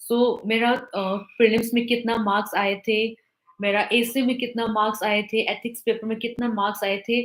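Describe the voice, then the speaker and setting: Her fairly high voice comes in a non-native accent, as this woman speaks with monotone, flat intonation. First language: not Hindi (speaking Hindi). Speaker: civil service exam topper, officer. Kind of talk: talk to exam aspirants. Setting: live online interaction. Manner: halting, many fillers; mixes Hindi and English.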